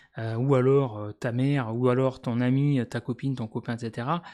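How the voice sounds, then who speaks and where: A man with a medium pitch and ordinary pitch variation, in a very clean recording with a silent background. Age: 40s. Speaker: YouTuber. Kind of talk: casual monologue. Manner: hesitant, many fillers.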